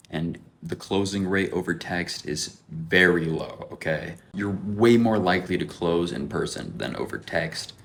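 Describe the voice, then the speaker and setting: Over noticeable background noise, a man speaks in an animated tone at a very deep, low pitch with ordinary pitch variation. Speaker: window cleaning entrepreneur, vlogger. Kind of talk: vlog commentary. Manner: fast; casual, animated.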